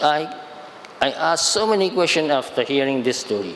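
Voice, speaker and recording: A man speaks with audible room echo. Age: 70s. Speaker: Buddhist monk. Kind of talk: dharma talk. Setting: shrine hall with audience. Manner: halting.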